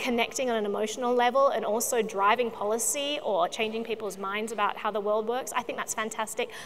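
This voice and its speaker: A woman in an Australian accent talks at a fairly quick pace with fairly even intonation over light background noise. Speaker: video producer; panelist. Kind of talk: panel discussion. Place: stage. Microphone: lapel.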